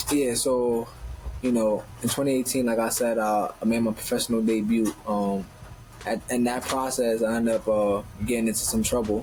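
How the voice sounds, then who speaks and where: In a Northeastern US accent, a man at medium pitch talks at a moderate pace with long, frequent pauses, monotone, flat intonation and very even loudness. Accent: Northeastern US urban. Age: 20s. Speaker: professional boxer. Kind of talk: interview conversation.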